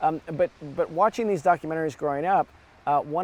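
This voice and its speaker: A man with an American accent speaks in an ordinary speaking voice, his pitch fairly high and his intonation fairly even. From US Midwest (Evanston, outside Chicago). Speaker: documentary filmmaker. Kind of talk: interview conversation. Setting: outdoors on a beach.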